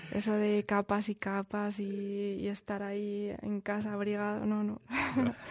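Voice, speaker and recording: This woman has a plain, everyday voice at a medium pitch. She speaks at a fairly slow pace with fairly even intonation. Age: 20s. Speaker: nurse, international volunteer. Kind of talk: interview.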